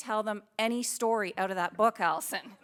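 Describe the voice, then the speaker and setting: A woman speaks with a Canadian accent. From Ontario, Belleville. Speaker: public speaker, hockey mom and author. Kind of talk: keynote talk.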